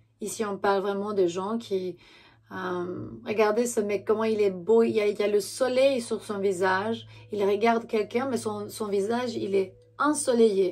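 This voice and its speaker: A woman speaking at a fairly slow pace with fairly even intonation. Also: medium pitch for a woman. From Romania. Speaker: tarot reader. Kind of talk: tarot reading monologue. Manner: halting, many fillers and self-corrections.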